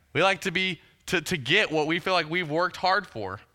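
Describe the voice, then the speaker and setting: A man with an American accent speaks at a moderate pace in a high pitch. His tone is bright and sharp, and the recording is very clean with a silent background. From US South, Huntsville, Alabama. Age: 30s. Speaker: student pastor. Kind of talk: sermon.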